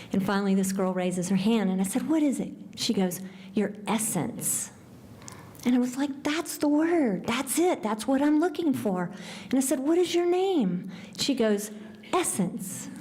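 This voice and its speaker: A woman with an American accent talks at a moderate pace, her fairly high pitch making very wide swings. Her loudness stays very even, and audible room echo surrounds her. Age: 60s. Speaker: nonprofit founder and speaker. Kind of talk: award talk.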